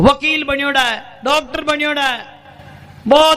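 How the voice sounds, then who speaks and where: A man uses a raised, projected voice over noticeable background noise. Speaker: Islamic cleric. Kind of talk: humorous religious sermon.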